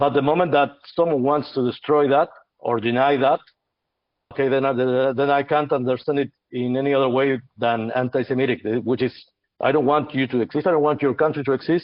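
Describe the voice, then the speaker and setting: A man with an Argentine accent speaks at a fairly quick pace, his pitch fairly high and his intonation fairly even. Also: very even loudness. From Argentina. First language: Spanish. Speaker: podcast host. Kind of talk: heated debate. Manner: halting, many repetitions.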